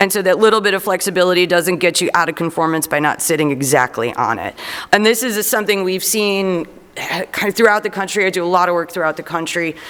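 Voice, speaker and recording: The speaker has a Chicago accent. The pace is very fast. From Chicago, Illinois. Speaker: zoning consultant. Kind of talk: public meeting presentation. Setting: city council meeting.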